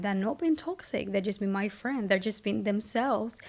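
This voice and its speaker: A woman with a Spanish accent, fairly high in pitch, with lively intonation at a moderate pace. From Spain. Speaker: vlogger. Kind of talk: casual monologue.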